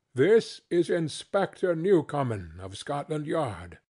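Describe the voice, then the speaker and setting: A man's put-on character voice, fairly high in pitch with very wide pitch swings, at a fairly slow pace against a quiet background. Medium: read story. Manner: formal, restrained.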